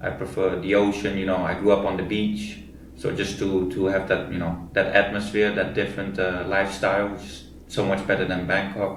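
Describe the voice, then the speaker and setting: A man's fairly low, monotone, flat voice at a moderate pace with hardly any pauses and audible room echo. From Thailand (Koh Samui), Dutch family. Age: 20s. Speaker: e-commerce entrepreneur. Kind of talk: interview.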